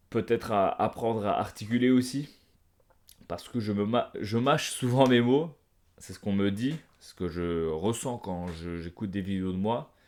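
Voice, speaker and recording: In a put-on character voice, a man mumbles at a moderate pace with fairly low pitch and ordinary pitch variation. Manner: mumbling, slurred articulation.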